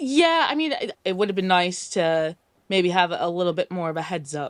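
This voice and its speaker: A woman with an American accent and a normal speaking voice talks at a medium pitch with lively intonation, in a dry, close sound with no echo. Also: moderate pace. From US, New York. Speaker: caller. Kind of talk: call-in advice chat. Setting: call with camera off.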